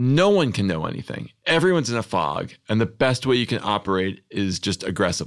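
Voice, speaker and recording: Fairly quick and with hardly any pauses, a man speaks at medium pitch. His pitch swings very widely. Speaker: journalist and comedy writer. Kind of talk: casual interview chat.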